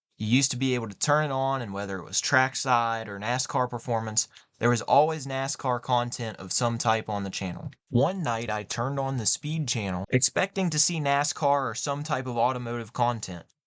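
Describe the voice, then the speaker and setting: Using a plain, everyday voice, a man talks at a fairly quick pace and medium pitch with ordinary pitch variation and hardly any pauses, against a quiet background. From West Virginia, US (small town). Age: 20s. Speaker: motocross podcast host. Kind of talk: scripted podcast monologue.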